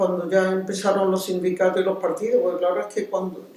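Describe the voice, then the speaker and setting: A woman talks in a mid-range pitch while the room throws back audible echo. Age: 80s+. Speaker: retired teacher and neighborhood activist. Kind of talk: interview. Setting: civic centre.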